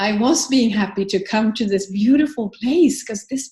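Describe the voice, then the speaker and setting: With a Swedish accent, a woman speaks at a fairly high pitch and a fairly slow pace, her voice somewhat breathy and her pitch variation ordinary. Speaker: book author and business founder. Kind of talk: interview conversation.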